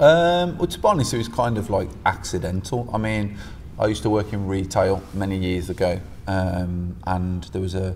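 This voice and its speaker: A man speaks at a moderate pace in a very deep, low voice with ordinary pitch variation. Room echo is audible. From West Midlands, England (Stourbridge). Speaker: jiu-jitsu coach. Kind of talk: casual chat.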